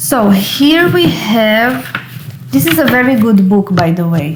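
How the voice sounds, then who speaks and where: Through audible room echo and noticeable background noise, a woman speaks at a fairly slow pace. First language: not English. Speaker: occult and tarot YouTuber. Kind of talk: casual book review. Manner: hesitant, with fillers.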